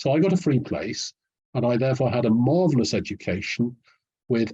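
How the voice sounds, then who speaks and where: A man talks at a moderate pace with lively intonation in a somewhat breathy voice. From English North Midlands, Nottingham. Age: 70s. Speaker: historian. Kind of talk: interview. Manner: articulate with some hesitations.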